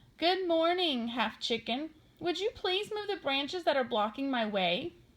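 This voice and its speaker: At a moderate pace and a high pitch, the woman performs in a put-on character voice. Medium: read story. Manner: polite.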